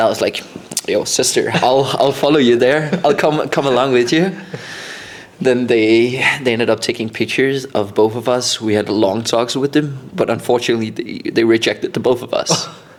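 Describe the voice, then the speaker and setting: Noticeable background noise behind a man's medium-pitched voice, moderate in pace and ordinary in pitch variation. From Denmark (Randers, later Copenhagen). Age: 20s. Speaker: podcast co-host. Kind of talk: casual chat.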